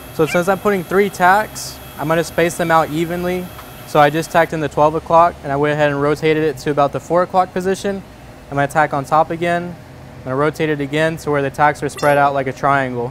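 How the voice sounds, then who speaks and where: A man rushes through his words at a very fast pace while light background noise plays. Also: fairly even intonation. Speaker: welding instructor. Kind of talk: tutorial. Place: workshop.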